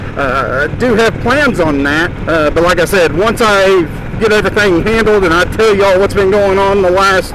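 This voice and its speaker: A man's voice, high in pitch, comes through noticeable background noise. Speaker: motorcycle vlogger. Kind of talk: casual vlog monologue. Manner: fast.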